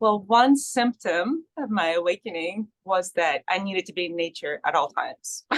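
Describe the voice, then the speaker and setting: A woman with a Russian accent, medium pitch and lively intonation at a moderate pace, hardly any pauses, and a dry, close sound with no echo. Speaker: author and mother. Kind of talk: interview testimony.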